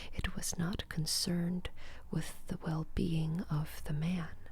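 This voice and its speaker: Soft-spoken and somewhat breathy, a woman speaks at a very slow pace with monotone, flat intonation. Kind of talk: bedtime story reading.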